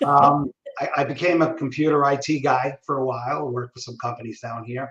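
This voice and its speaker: Talking at a fairly quick pace, a man with a New York accent uses a fairly high pitch and big swings in loudness. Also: fairly even intonation. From New York City, Brooklyn. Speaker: communication trainer. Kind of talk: interview. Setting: live video stream. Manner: casual, halting with many fillers.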